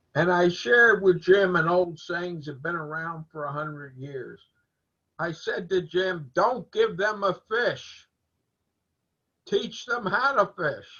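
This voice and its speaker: Speaking at a very slow pace, a man uses a high pitch with ordinary pitch variation. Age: 80s+. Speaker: learning community member. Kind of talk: casual chat.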